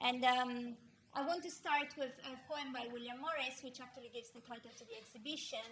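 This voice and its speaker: Against noticeable background noise and audible room echo, a woman with an Italian accent talks at a fairly quick pace in a high pitch, with fairly even intonation and big swings in loudness. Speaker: philosophy professor. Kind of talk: lecture. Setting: art gallery with audience.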